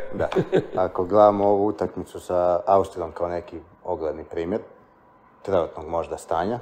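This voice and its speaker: Speech comes at a moderate pace with long, frequent pauses and monotone, flat intonation. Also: man, very deep, low pitch for a man. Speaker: podcast host. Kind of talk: casual interview.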